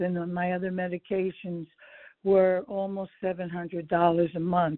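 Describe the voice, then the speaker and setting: Her intonation stays monotone and flat. The woman talks at a fairly slow pace. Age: 70s. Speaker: caller, retired school teacher. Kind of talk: caller question. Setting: phone call.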